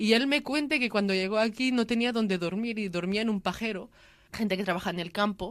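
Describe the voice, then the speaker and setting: Speaking at a fairly quick pace, a woman has a plain, everyday voice at a fairly high pitch. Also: ordinary pitch variation. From Catalonia, Spain (Lleida). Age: 20s. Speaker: interviewee sharing migrant family story. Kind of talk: testimony.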